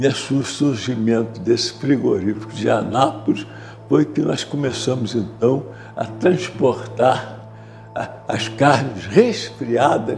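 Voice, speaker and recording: Over music in the background, the speaker talks at a very slow pace with ordinary pitch variation. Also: man. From Rio de Janeiro, Brazil. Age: 80s+. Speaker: war veteran and businessman. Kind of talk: oral history interview. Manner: halting, many repetitions and fillers.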